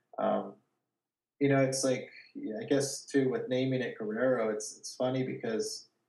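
Moderately paced speech from a man with an American accent, audible room echo around it. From California, Watsonville. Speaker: gallery owner and artist. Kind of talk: casual interview. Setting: video call from his studio.

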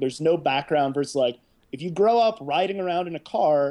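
In an ordinary speaking voice with an American accent, a man talks at a moderate pace and a fairly high pitch, using ordinary pitch variation. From Indiana, US Midwest. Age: 30s. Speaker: artist. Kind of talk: casual chat. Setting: video call.

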